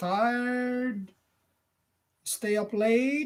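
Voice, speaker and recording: Extremely high pitch from a man, with fairly even intonation. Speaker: vlogger. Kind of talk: casual live chat with viewers. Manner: halting.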